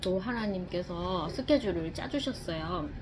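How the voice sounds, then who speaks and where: In a room with audible echo and noticeable background noise, a woman talks at a very slow pace in a relaxed tone with ordinary pitch variation. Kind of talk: casual eating vlog talk. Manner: relaxed, with many filler sounds.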